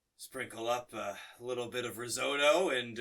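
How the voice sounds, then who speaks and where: A man in a put-on character voice speaks at a moderate pace, his medium-pitched delivery weary in tone and fairly even in intonation. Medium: actual play. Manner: placating, weary.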